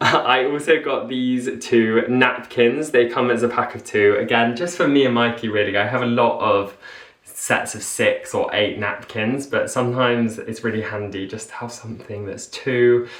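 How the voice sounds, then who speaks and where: Over noticeable background noise, a man mumbles at a moderate pace and medium pitch, with fairly even intonation and hardly any pauses. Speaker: lifestyle vlogger. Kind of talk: haul video chat to camera. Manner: mumbling; chatty.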